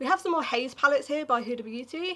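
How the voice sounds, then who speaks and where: A woman speaks very fast with a British accent. Her pitch varies in an ordinary way. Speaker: beauty creator. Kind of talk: casual talk to camera.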